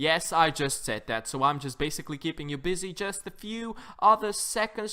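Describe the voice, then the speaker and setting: A man's bright, sharp, animated tone on a very clean recording with a silent background. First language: Dutch. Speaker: gaming YouTuber. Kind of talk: casual voice-over commentary.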